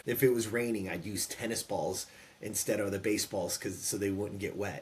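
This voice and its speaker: A man with an American accent, fairly low in pitch and somewhat breathy, at a fairly quick pace with fairly even intonation. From California. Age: 50s. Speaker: former pro baseball player and entrepreneur. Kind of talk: interview storytelling.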